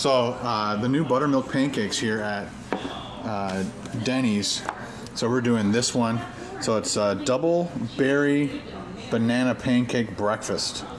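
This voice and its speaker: Speech comes at a fairly slow pace with ordinary pitch variation and long, frequent pauses over noticeable background noise. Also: man. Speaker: vlogger. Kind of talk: casual vlog chat. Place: cafe. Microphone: phone near.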